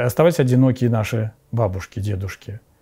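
Against a quiet background, the voice is somewhat breathy with ordinary pitch variation. The pace is moderate. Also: man. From Russia, Sergiev Posad (Moscow region); Moscow region, Russia. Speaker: Orthodox bishop. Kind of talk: interview, personal recollections. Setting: at his home. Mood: calm, earnest. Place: cafe.

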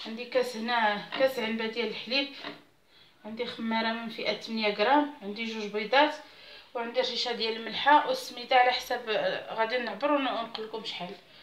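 A woman's voice at a moderate pace, with fairly even intonation and audible room echo. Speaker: home cook channel host. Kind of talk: tutorial. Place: kitchen. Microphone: phone near.

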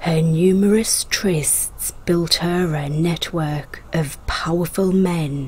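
A woman speaks very slowly in a dramatic tone, her fairly low voice keeping a fairly even intonation over noticeable background noise. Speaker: history channel narrator. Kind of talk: dramatic scripted history narration of scandalous lives. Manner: storytelling with dramatic emphasis on twists; measured, polished documentary delivery.

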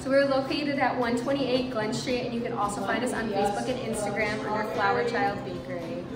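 A woman speaks at a very fast pace with hardly any pauses. Loud background noise fills the recording. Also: ordinary pitch variation. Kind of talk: interview answer. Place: shop.

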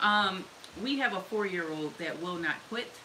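A woman talks with lively intonation. Noticeable background noise runs behind her. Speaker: soap maker hosting a live stream. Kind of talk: casual live-stream tutorial chat. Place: workshop. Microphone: camera far.

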